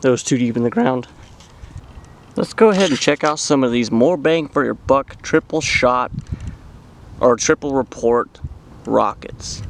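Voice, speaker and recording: This man talks at a fairly slow pace with long, frequent pauses. His pitch is medium, with ordinary variation. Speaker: fireworks hobbyist vlogger. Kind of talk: casual commentary while filming. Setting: outdoors in an open area. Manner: loud.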